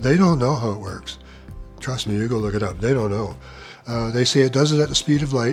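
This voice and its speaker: A man's pitch varies in an ordinary way while music plays behind him. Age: 80s+. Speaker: amateur science explainer. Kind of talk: casual talk to camera.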